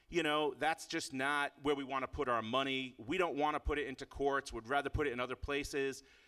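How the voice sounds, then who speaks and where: Bright and sharp, a man's fairly high, animated voice speaks with an American accent. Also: very clean recording, silent background. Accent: Boston accent, shows at times. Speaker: activist and speaker at a political rally. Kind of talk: rally speech. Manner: animated, emphatic.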